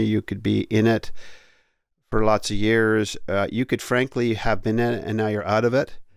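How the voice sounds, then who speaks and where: A man with an unremarkable speaking voice and a Canadian accent talks at a moderate pace and a fairly low pitch, with fairly even intonation. The recording is very clean, with a silent background. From Canada (Ontario). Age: 60s. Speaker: podcast host and author. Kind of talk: casual conversation.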